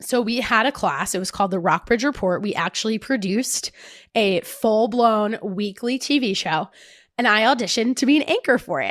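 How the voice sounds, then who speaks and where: A woman talks at a moderate pace in a fairly high pitch with lively intonation. The recording is very clean, with a silent background. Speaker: fitness podcast host. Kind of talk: casual chat.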